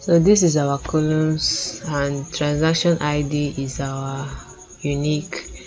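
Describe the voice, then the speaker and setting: Someone with a Nigerian accent talks at a very slow pace over noticeable background noise. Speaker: data analytics tutor. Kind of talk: screen-share tutorial. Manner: casual with frequent fillers.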